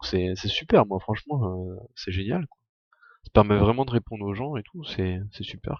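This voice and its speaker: With lively intonation and a moderate pace, a man talks in a dry, close sound with no echo. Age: 20s. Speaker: Minecraft streamer. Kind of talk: live gaming stream. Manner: casual, hesitant.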